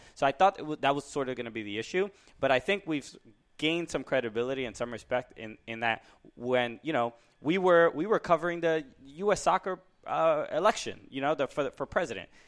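Over a silent background in a very clean recording, a man talks at a fairly quick pace with a fairly high pitch and lively intonation. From Brooklyn, New York. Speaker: stand-up comedian and podcast co-host. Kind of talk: casual chat. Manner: halting.

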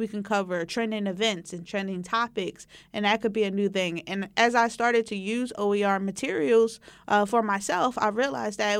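A woman speaks with an American accent at a medium pitch. She has a plain, everyday voice with fairly even intonation. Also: very clean recording, silent background. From West Philadelphia. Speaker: community college instructor. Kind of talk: oral history interview.

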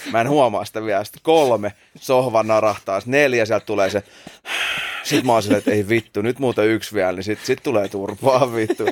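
A man with a plain, everyday voice speaks at a medium pitch and fairly quick pace, with fairly even intonation and a dry, close sound with no echo. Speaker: podcast host. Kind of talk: casual chat.

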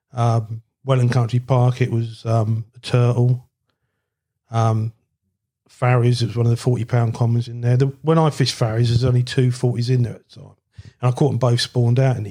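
A man with a medium pitch and a dark, mellow tone talks at a fairly quick pace, somewhat breathy and monotone, his loudness swinging widely. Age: 60s. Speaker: carp angler. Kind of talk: casual chat. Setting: at guest's home.

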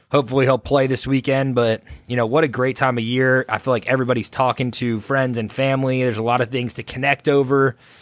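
Dry and close with no echo, a man with an American accent speaks at a fairly quick pace in a monotone, flat intonation at medium pitch. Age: 20s. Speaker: podcast host. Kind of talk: solo podcast monologue. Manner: casual.

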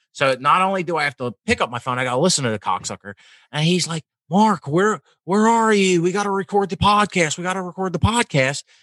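On a very clean recording with a silent background and a dry, close sound with no echo, a man with a Philadelphia accent talks at a very fast pace in a high pitch, with a bright, sharp tone and lively intonation. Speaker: podcast co-host. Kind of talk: casual chat.

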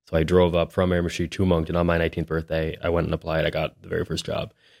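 A Maritime Canadian accent on a very clean recording with a silent background. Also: man. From New Brunswick, Canada. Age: 20s. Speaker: realtor. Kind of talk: casual interview.

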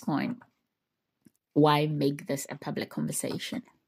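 A woman speaks with a very deep, low voice and vocal fry. Her pace is moderate. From Ghana. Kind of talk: solo reflective monologue.

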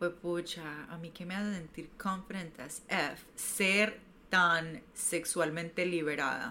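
Speaking very slowly, this woman has a fairly low pitch, a bright, sharp tone and fairly even intonation. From Colombia, Medellín. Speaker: sensuality and self-love coach. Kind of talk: casual interview chat.

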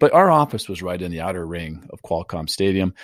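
With an American accent and a normal speaking voice, a man with a fairly low pitch talks at a fairly quick pace on a very clean recording with a silent background. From US West Coast (San Diego, California). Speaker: title company executive and real estate podcaster. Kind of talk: interview conversation.

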